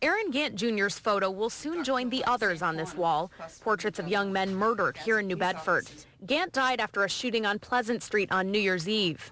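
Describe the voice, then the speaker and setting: At a moderate pace, a woman with an American accent talks in a bright, sharp tone with lively intonation. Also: medium pitch for a woman. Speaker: TV news reporter and fill-in anchor. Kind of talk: TV news reporter delivery.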